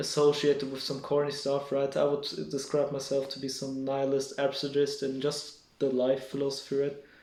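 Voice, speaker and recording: A man's flat, monotone voice at a moderate pace, hardly any pauses, audible room echo. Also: fairly high pitch for a man. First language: not English. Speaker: solo vlogger. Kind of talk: casual monologue to camera. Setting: home at night, speaking alone to camera. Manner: halting, many fillers and restarts.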